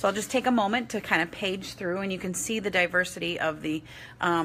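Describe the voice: Plain reading aloud, with ordinary pitch variation.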